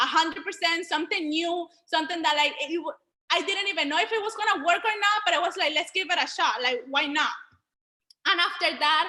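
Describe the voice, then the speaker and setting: Raised and projected, a woman's extremely high, bright, sharp voice comes out animated and very fast, with ordinary pitch variation. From Venezuela. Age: 20s. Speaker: online business educator. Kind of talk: group video call presentation.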